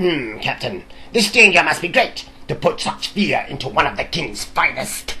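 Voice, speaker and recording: A put-on character voice at a middle pitch speaks at a moderate pace. Background noise is clearly audible. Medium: read story. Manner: pompous, arrogant, impatient.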